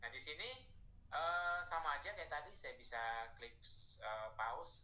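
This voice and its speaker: A man speaking fairly quickly amid audible room echo. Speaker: online training presenter. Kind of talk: tutorial.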